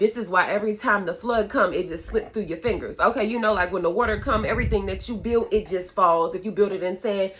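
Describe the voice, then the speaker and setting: A woman at medium pitch, talking at a fairly quick pace. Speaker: spiritual content creator giving prophetic words. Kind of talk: informal prophetic encouragement talk. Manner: animated.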